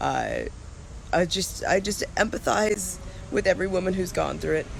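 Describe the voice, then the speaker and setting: Noticeable background noise is present throughout. The delivery keeps a moderate pace. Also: man. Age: 20s. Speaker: video blogger. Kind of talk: casual vlog update.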